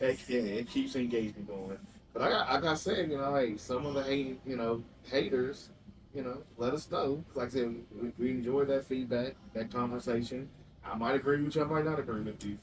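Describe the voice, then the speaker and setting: A man speaks with an Alabama accent and ordinary pitch variation. Noticeable background noise runs under the recording. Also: medium pitch for a man, fairly quick pace. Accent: Southern US (Alabama). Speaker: podcast co-host. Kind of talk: casual chat.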